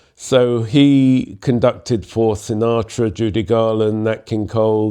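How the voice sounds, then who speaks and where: A man with a London accent, a dark, mellow tone, a fairly low pitch and fairly even intonation. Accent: southern English (London). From London, England. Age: 70s. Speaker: jazz musician and composer. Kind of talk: interview storytelling.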